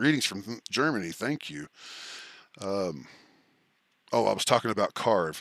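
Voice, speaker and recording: In a Texan accent, a man speaks at a fairly slow pace. The recording is very clean, with a silent background and a dry, close sound with no echo. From Texas. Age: old. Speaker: streamer. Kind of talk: live stream chat. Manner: scattered, halting.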